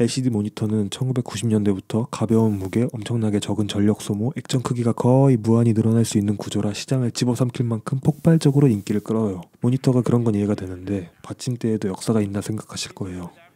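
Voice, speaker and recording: A man talks at a very fast pace with hardly any pauses and fairly even intonation. His medium-pitched voice has a dark, mellow tone and a dry, close sound with no echo. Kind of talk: history explainer narration. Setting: home, at night.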